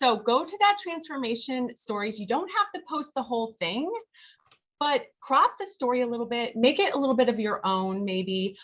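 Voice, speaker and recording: A loud woman's voice, high in pitch, with very wide pitch swings. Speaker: health coach. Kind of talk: training presentation on video call. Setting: video call. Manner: casual, filler-heavy.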